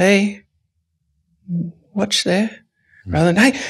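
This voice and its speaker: Against a quiet background, a man with an Australian accent sounds somewhat breathy. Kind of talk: podcast interview answer; interview answer. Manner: reflective, with pauses. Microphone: studio mic.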